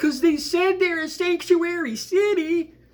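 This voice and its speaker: A put-on character voice at an extremely high pitch whines along at a moderate pace in a whiny tone. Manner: annoying, whiny.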